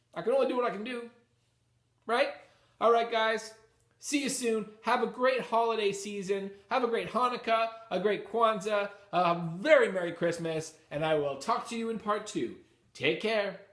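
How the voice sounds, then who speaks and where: Audible room echo surrounds a man who talks at a moderate pace. His pitch is high and varies in an ordinary way. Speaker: comic book YouTuber. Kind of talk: casual chat. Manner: hesitant with many fillers.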